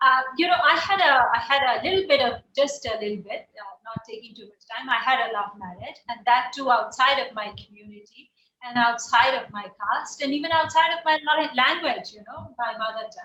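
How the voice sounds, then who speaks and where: A woman with an Indian accent speaks at a moderate pace, high-pitched and with a raised, projected voice, lively intonation, big swings in loudness and hardly any pauses. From India, Bihar. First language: Bihari dialect, Hindi. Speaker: poet and writer. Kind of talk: interview.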